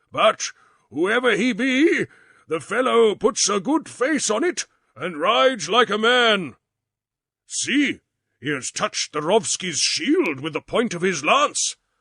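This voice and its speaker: Using a put-on character voice, a man talks at a high pitch and fairly slow pace with very wide pitch swings. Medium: read story. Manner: solemn, old-fashioned speech.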